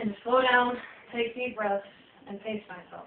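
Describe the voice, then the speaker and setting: Loud and at a fairly quick pace, a woman speaks with a fairly high pitch and fairly even intonation. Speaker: college student and Navy veteran. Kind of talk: class speech. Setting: small audience.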